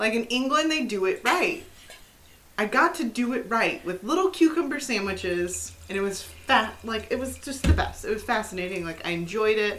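The speaker talks at a moderate pace in an animated tone, with very wide pitch swings. Noticeable background noise is present. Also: woman, fairly high pitch for a woman. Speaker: podcast co-host. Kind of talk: casual chat.

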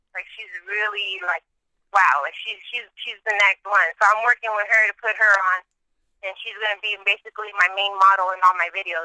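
In a Spanish accent, a woman of medium pitch speaks with monotone, flat intonation and big swings in loudness, in a dry, close sound with no echo. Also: fairly quick pace. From San Jose, California. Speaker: rapper. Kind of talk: interview. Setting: phone call.

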